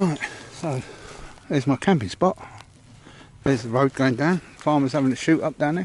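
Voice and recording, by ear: A man speaks at a moderate pace with a medium pitch and ordinary pitch variation. His tone is slightly mellow.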